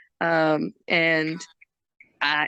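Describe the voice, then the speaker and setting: Bright and sharp in tone yet very deep and low, a woman speaks in a monotone with flat intonation and an American accent, recorded dry and close with no echo. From United States. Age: young. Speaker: professional wrestler. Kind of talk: interview. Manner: halting.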